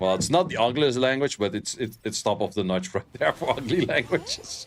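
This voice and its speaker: Through noticeable background noise, a man of medium pitch talks at a moderate pace with very wide pitch swings. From Netherlands. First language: Dutch. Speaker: game streamer. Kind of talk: casual livestream chat. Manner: animated.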